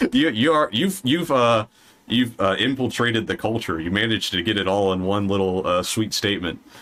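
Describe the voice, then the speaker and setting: A man's fairly low-pitched voice with lively intonation, in a slight Southern US accent. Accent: slight Southern drawl. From US South. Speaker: podcast host. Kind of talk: casual chat. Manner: animated.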